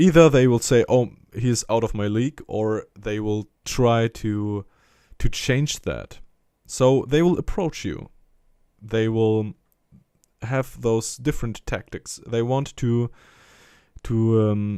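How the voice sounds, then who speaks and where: With a dark, mellow tone and ordinary pitch variation, a man speaks at a very slow pace with long, frequent pauses, on a very clean recording with a silent background. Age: 20s. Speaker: religious motivational vlogger. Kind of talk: personal monologue. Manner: halting.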